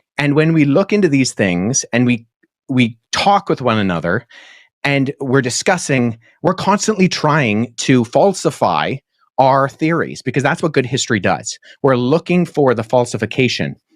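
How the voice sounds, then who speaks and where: Speaking at a moderate pace with a medium pitch, a man shows vocal fry, lively intonation and very even loudness. The sound is dry and close with no echo, on a very clean recording with a silent background. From Middle East (Pakistan, Jordan). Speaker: biblical scholar, PhD student. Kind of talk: debate.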